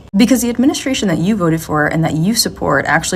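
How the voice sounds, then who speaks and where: A woman speaks with lively intonation. Noticeable background noise can be heard. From US Midwest, Chicago, Puerto Rican heritage. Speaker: social media commentator. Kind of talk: political commentary rant. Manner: animated.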